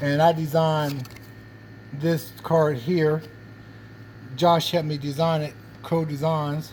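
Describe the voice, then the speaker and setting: A man talks very slowly in a fairly high, somewhat breathy voice. His intonation is monotone and flat, broken by long, frequent pauses. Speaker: car and cigar vlogger. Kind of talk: casual vlog. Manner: casual, hesitant with fillers.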